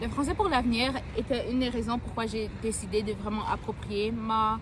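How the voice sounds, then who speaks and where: Noticeable background noise and audible room echo are present. Intonation remains fairly even throughout. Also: woman, fairly high pitch for a woman, moderate pace. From Alberta, Edmonton (born in Cameroon). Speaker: university student, youth ambassador. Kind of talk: interview. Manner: hesitant, filler-heavy.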